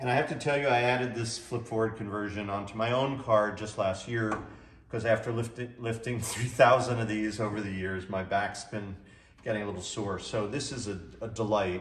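Room echo is audible around a man. He speaks at a fairly quick pace. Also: fairly even intonation. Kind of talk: product demonstration. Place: garage. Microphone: camera far.

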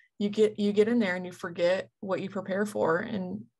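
A woman speaks at a medium pitch and a moderate pace, her intonation flat and monotone. The background is quiet. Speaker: softball player and coach. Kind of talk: interview.

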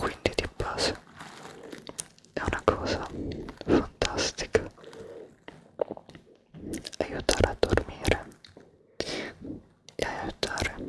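Someone whispers in a breathy, soft-spoken way at a very slow pace. There are long, frequent pauses, and loud background noise fills the recording. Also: man. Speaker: ASMR creator. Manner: soft breathy whisper into mic. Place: home room. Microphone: studio mic.

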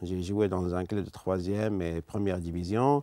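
A man speaks at a fairly slow pace in a dark, mellow tone, with a dry sound with no echo and a quiet background. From Algeria. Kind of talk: testimony interview; interview answer. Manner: halting. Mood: earnest, calm. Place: studio. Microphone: lapel.

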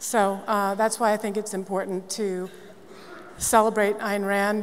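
Medium in pitch, a woman's voice moves at a fairly slow pace in a monotone, flat intonation. Light background noise sits beneath it. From Massachusetts, Newton; Massachusetts. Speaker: nonprofit CEO; panelist. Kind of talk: panel discussion. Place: stage.

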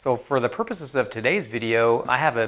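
Fairly even intonation from a man at a moderate pace over a quiet background. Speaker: woodworking channel host. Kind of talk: casual vlog chat. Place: workshop. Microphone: lapel.

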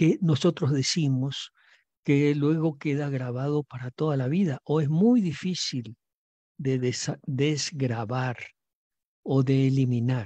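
A man speaks fairly slowly at a medium pitch, his tone dark and mellow with ordinary pitch variation. The sound is dry and close, without echo.

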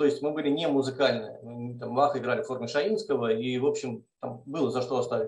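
Somewhat breathy and fairly high in pitch, a man talks at a fairly quick pace with hardly any pauses, his voice carrying audible room echo. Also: ordinary pitch variation, quiet background. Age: 40s. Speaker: mathematics professor. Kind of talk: testimony. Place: kitchen. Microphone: video call.

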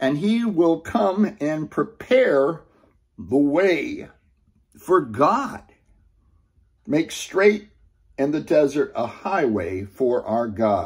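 A man talks at a very slow pace with long, frequent pauses against a quiet background. His pitch swings very widely. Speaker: Bible teacher. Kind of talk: sermon. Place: home room. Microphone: webcam.

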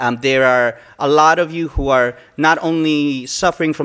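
An ordinary speaking voice: a man with a fairly high pitch and fairly even intonation, against a quiet background. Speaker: event emcee. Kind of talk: event emceeing. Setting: stage with audience. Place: hall. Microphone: podium.

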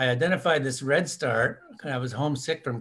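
A man speaks in a plain, everyday voice with an American accent, his pitch medium and his pace fairly slow. The recording is very clean, with a silent background. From US Midwest, rural Minnesota. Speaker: ornithologist. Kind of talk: interview.

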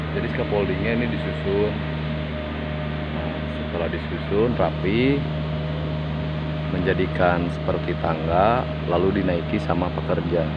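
Over loud background noise, a man speaks at a fairly slow pace with ordinary pitch variation and long, frequent pauses. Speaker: heavy equipment vlogger. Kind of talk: casual vlog commentary. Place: tunnel cave. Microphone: phone near.

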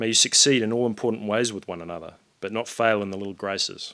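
Against a quiet background, a man speaks at a very fast pace with a bright, sharp tone. His pitch is fairly low, with ordinary variation. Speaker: wedding guest giving a reading; guest. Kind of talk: reading aloud. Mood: warm, earnest, light humour. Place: garden. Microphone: podium.

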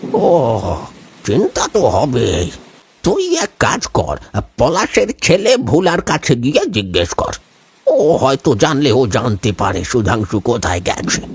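A man's put-on character voice at medium pitch, fairly slow, with very wide pitch swings. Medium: audio drama. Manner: familiar, brisk.

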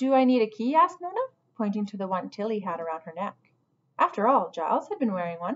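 Behind the voice, all is quiet. What's heard is plain reading aloud.

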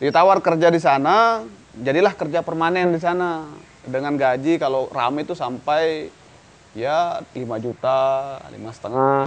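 This man talks at a moderate pace, his pitch fairly high with ordinary variation. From North Lombok, Indonesia; Indonesia. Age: young. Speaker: humanitarian activist, foundation founder. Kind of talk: casual interview. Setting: villa in Lombok. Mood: relaxed storytelling, animated. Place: garden.

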